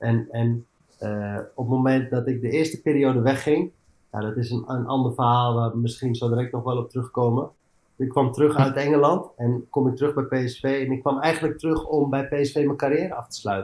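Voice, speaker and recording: Talking at a fairly quick pace, a man uses a normal speaking voice at medium pitch with fairly even intonation. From Amsterdam, Netherlands. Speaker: former footballer and coach. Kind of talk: casual interview.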